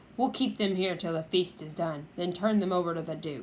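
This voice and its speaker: Over clear background noise, a woman puts on a character voice in a fairly low pitch at a fairly quick pace. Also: ordinary pitch variation. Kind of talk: old-fashioned medieval speech. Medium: read story. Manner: gruff, jeering.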